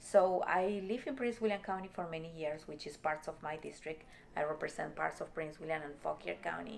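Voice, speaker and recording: A woman with a Spanish accent talks at a fairly quick pace in a very deep, low pitch. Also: ordinary pitch variation. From Peru. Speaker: state legislator. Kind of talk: interview. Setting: office.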